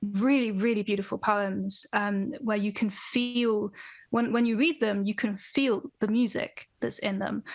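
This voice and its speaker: A woman's fairly high voice at a very slow pace, with ordinary pitch variation. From London, England. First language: Farsi. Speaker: band vocalist. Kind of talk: podcast interview. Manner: casual, halting with repetitions.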